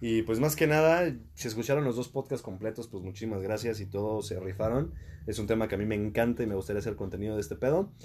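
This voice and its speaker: A man speaks at a very fast pace in a Mexican accent, his pitch fairly low and somewhat breathy. His pitch varies in an ordinary way. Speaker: podcast host. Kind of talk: casual chat.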